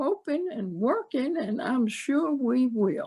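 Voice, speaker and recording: Her pitch high and swinging very widely, a woman speaks at a very slow pace. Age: 80s+. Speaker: homeless ministry co-founder. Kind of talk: interview answer.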